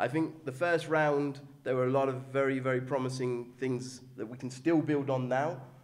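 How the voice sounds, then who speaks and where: The man talks at a medium pitch with a monotone, flat intonation. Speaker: football club official. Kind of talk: awards night speech. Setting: awards event with audience. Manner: halting.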